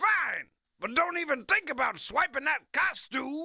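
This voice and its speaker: At a moderate pace, someone delivers a put-on character voice at a high pitch. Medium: video game. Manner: gruff, huckstering.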